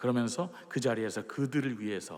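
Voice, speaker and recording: A man's voice at a medium pitch. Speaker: opera tenor giving testimony. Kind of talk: church testimony.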